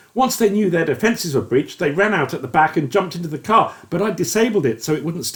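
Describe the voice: The clip consists of plain reading aloud.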